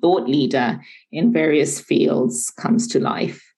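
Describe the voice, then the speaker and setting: The voice carries vocal fry along with lively intonation. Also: woman. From United Kingdom, with some schooling in Zimbabwe. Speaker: management consultant and entrepreneur. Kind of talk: interview conversation.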